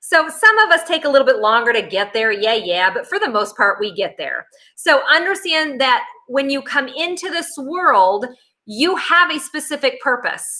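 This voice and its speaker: Her raised, projected voice is high-pitched with a bright, sharp tone, and this woman moves through very wide pitch swings at a moderate pace. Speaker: psychic medium. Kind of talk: workshop lecture. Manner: casual, filler-heavy.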